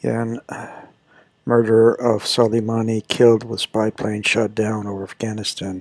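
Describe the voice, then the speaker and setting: A man whispers at a moderate pace. The sound is dry and close, without echo. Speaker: news commentary host. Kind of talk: news review monologue. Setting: library. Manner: whispering.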